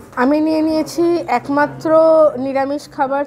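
A woman speaks over noticeable background noise. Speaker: food vlogger. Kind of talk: casual food review vlog chat. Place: cafe. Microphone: lapel.

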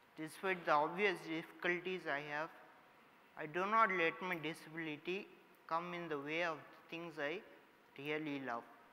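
A man with a fairly high pitch and a bright, sharp tone talks at a moderate pace. He leaves long, frequent pauses, and room echo is audible. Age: 20s. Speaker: professor. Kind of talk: inspirational talk. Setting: stage with audience. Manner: halting.

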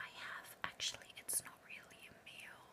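Fairly slow speech over loud background noise. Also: woman. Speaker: vlogger. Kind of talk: casual close-up vlog chat. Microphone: webcam.

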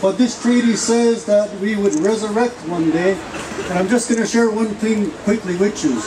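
A man talks at a moderate tempo while noticeable noise fills the background. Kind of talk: rally speech, storytelling with spiritual prophecy. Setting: outdoor rally with audience. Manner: earnest, sermon-like, long flowing sentences. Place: street. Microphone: podium.

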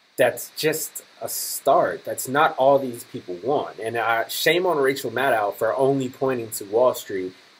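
A man speaks at a fairly slow pace with hardly any pauses, his fairly high pitch moving with ordinary variation. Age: 20s. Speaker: political commentary vlogger. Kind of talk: political commentary. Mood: critical, earnest. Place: home room. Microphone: webcam.

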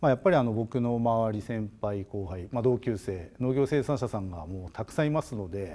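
A man with a dark, mellow tone talks with hardly any pauses. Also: lively intonation, fairly quick pace. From Japan, Hokkaido (Obihiro, Tokachi); Hokkaido, Japan. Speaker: agricultural design company director; guest lecturer. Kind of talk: lecture. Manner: hesitant, many filler sounds. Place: studio. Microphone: lapel.

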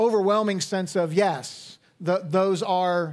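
The setting behind the voice is quiet. A man talks with intonation that stays fairly even. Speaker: pastor. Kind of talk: sermon. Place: church. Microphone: headset.

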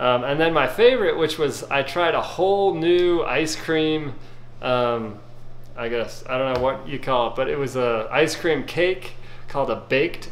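Lively intonation marks a man's fairly high-pitched voice. He talks fairly slowly over light background noise. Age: 40s. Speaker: YouTube food reviewer. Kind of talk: casual video review. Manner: casual with frequent fillers. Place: kitchen. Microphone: phone near.

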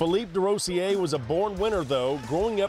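Over music in the background, a man speaks at a high pitch with lively intonation. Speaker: sports reporter. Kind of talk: sports news package narration.

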